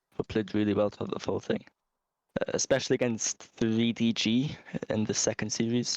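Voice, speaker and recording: Recorded dry and close with no echo, a man with a Geordie accent speaks at a medium pitch. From Newcastle, northern England. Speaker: esports team captain. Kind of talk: post-match interview.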